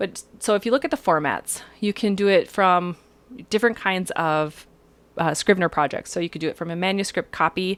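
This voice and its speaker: Speaking at a fairly quick pace, a woman uses a medium pitch with ordinary pitch variation. The sound is dry and close with no echo, on a very clean recording with a silent background. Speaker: writers group presenter. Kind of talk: software tutorial. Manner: fast; casual, chatty.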